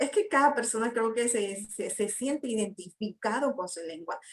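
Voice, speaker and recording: Speaking at a fairly high pitch, a woman uses lively intonation. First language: Guna (Kuna) (speaking Spanish). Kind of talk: panel discussion. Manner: hesitant, many fillers.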